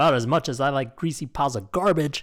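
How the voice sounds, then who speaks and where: In a very clean recording with a silent background, a man rattles off a cartoonish character voice at a very fast pace with a fairly high pitch. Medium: puppet show. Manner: gruff, grumbling.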